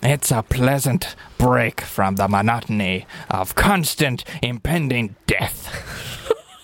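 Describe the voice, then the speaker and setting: A man in a put-on character voice speaks at a medium pitch and a fairly slow pace. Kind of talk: stock pirate dialect. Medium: actual play.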